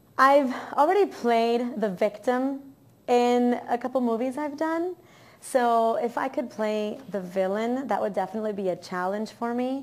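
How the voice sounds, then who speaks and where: A high-pitched woman's voice with an American accent, fairly slow pace and ordinary pitch variation. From Miami, Florida. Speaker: actress and model. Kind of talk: interview. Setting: on camera.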